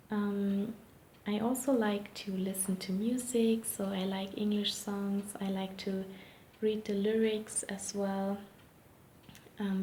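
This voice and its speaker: Someone with a non-native accent talks at a very slow pace, leaving long, frequent pauses, against noticeable background noise. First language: not English. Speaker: interviewee sharing language tips. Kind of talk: interview answers. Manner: hesitant, many fillers.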